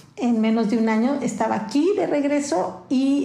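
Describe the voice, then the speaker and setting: A woman's voice sits at a high pitch with ordinary pitch variation. Audible room echo and noticeable background noise are present. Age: 50s. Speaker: media company founder and CEO. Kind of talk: interview.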